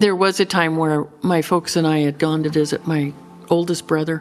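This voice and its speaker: A woman with an American accent talks at a moderate pace and a fairly low pitch. Her intonation is monotone and flat, with music in the background. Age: 60s. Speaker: rancher. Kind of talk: interview answer.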